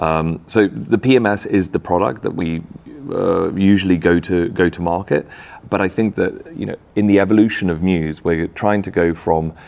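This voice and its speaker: With a strong English accent, a man speaks at a moderate pace in a very deep, low pitch. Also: ordinary pitch variation. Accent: thick English. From Czech Republic. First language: Czech. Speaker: tech company founder. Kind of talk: interview. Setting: in person at a conference.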